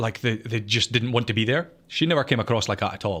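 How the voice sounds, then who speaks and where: A man with a Scottish accent speaks at medium pitch and a fairly quick pace on a very clean recording with a silent background. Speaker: podcast co-host and gaming content creator. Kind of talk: casual chat. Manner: halting, many false starts.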